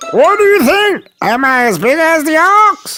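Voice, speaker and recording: Someone performs a put-on character voice at a moderate pace. Faint music plays in the background. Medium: read story. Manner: boastful.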